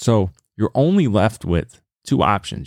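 A man with an American accent, recorded very cleanly against a silent background, the sound dry and close with no echo. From US South, Lynchburg, Virginia. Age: 40s. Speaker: podcast host. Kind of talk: solo podcast monologue, heated self-help rant with swearing. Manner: casual and conversational, filler-heavy with 'uh' and 'you know'; intense, emphatic and exhortative, punching swear words.

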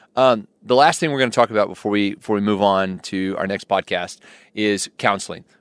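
Over a very clean recording with a silent background and a dry, close sound with no echo, a man speaks fairly quickly in a plain, everyday voice, fairly low in pitch with ordinary pitch variation. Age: 40s. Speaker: counselor and podcast co-host. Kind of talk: casual chat.

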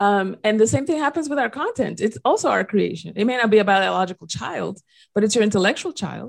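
At a very fast pace, a woman with a slight Dominican accent speaks at a fairly high pitch with vocal fry and lively intonation, on a very clean recording with a silent background. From Dominican Republic. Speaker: podcast co-host. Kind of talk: casual podcast conversation.

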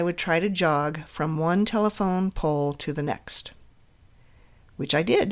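A woman with a fairly low pitch speaks at a fairly slow pace with ordinary pitch variation, in an unremarkable speaking voice. The recording is very clean, with a silent background. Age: 50s. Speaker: podcast host, counselor. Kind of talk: solo monologue, personal story.

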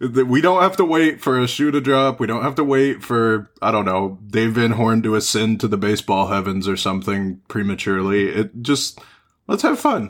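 A man in an unremarkable speaking voice talks at a moderate pace with medium pitch and ordinary pitch variation. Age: 20s. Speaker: sports podcast host. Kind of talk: casual chat.

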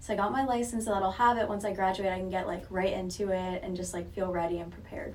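Speaking at a very fast pace with hardly any pauses, a woman with an American accent keeps her medium pitch in fairly even intonation. Audible room echo and noticeable background noise fill the recording. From Southwest Florida. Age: 20s. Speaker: college student and real estate intern. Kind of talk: casual interview.

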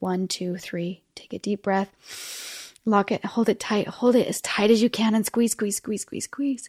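In a very clean recording with a silent background, a woman talks in an ordinary speaking voice. Her intonation stays fairly even and her pace is fairly slow. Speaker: podcast host. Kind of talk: guided meditation; solo podcast monologue, tips. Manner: warm, encouraging.

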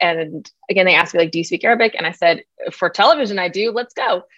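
A woman with a General American accent speaks in a fairly low voice with ordinary pitch variation. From United States, Iraqi parents. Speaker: comedian. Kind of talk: interview. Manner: animated.

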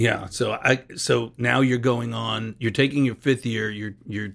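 A man at medium pitch with vocal fry, a fairly slow pace and fairly even intonation. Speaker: podcast host. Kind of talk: casual interview chat. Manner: jokey, talkative.

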